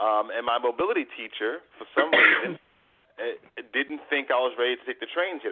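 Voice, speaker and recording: A man speaks at a fairly quick pace with a New York accent. His pitch sits in the middle range. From New York City. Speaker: life coach and motivational speaker. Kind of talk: interview.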